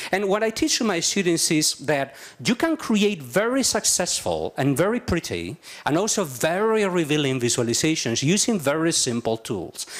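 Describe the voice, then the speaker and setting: Speaking with a Spanish accent at a moderate pace, a man uses a high pitch with very wide swings while his loudness stays very even. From Spain. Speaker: journalism professor. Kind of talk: conference talk. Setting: stage with audience.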